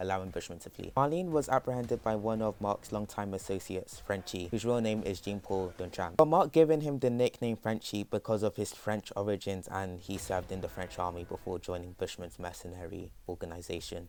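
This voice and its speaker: A man speaks at a fairly quick pace with a fairly low pitch and ordinary pitch variation. He hardly pauses, and the recording is very clean with a silent background. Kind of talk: comic character backstory narration. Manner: fast; nervous.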